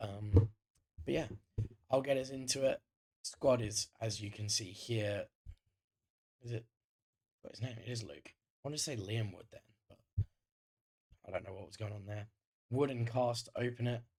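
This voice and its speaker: A man with a slight northern English accent speaks at a moderate pace and medium pitch, his tone dark, mellow and somewhat breathy. His pitch varies in an ordinary way, his loudness swings widely, and he leaves long, frequent pauses. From northern England, Greater Manchester. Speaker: gaming YouTuber. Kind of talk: gameplay commentary. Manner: casual, frequent filler ums.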